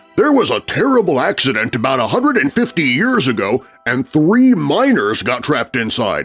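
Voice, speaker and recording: Putting on a character voice with very wide pitch swings, a man talks at a moderate pace over faint background music. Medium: read story. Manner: folksy, jovial.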